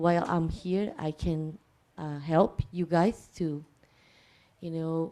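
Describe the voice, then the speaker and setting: A woman speaks at a very slow pace with a non-native accent. Her fairly low pitch has a dark, mellow tone and fairly even intonation. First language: not English. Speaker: visiting alternative medicine healer. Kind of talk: self-introduction. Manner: halting, many fillers.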